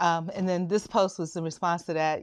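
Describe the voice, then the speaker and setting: This is a woman speaking. Her pitch is fairly low. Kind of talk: casual talk to camera.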